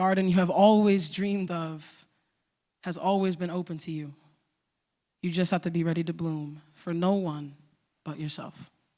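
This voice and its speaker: A woman talks at a fairly low pitch and a moderate pace. Her intonation stays fairly even. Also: very clean recording, silent background. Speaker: spoken word poet. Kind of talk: spoken word poetry performance.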